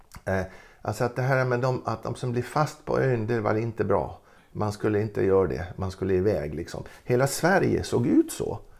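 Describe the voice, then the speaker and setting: A man's lively, fry-tinged voice at a moderate pace, on a very clean recording with a silent background. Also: fairly low pitch for a man. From Gotland, Sweden. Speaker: retired ethnology professor. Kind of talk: interview. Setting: at home. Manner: halting.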